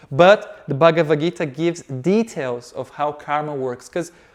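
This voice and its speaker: A man speaks in a Portuguese accent at a moderate pace. His pitch sits fairly high. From Brazil. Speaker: yoga teacher. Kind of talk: lecture.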